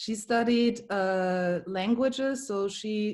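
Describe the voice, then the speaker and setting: A woman's dark, mellow voice with a strong German accent. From Germany. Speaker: comedian. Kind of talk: casual chat. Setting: video call.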